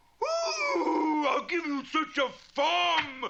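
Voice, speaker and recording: This cartoonish character voice is high in pitch and has a slight echo. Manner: blustering, confused.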